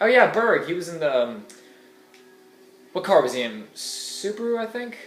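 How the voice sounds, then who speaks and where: Very wide pitch swings ring out amid audible room echo and noticeable background noise. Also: man. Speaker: gaming video creator. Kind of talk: let's play commentary. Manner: casual, hesitant with fillers.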